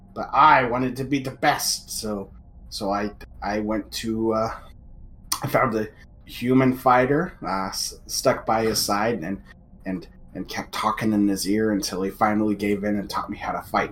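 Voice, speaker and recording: A man puts on a raspy character voice at medium pitch and a moderate pace. Clear background noise sits behind him. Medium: actual play. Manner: haughty, sniffy, easily offended.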